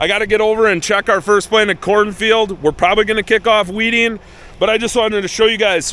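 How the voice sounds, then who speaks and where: Noticeable background noise under fairly quick speech. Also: man. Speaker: farmer. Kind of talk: casual vlog talk. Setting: outdoors in a field. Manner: fast.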